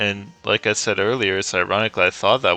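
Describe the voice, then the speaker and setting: Music plays in the background as a man speaks with a fairly low pitch. The sound is dry and close, with no echo. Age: 20s. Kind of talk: casual rant over gameplay. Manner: rambling, hesitant.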